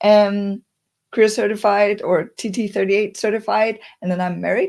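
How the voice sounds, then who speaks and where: This is a normal speaking voice. It moves at a fairly quick pace with fairly even intonation. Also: woman. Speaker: career coach and speaker. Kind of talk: webinar presentation.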